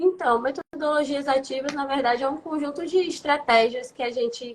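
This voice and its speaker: Moderate pace with ordinary pitch variation. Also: woman, high pitch for a woman. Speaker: science teacher. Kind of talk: interview.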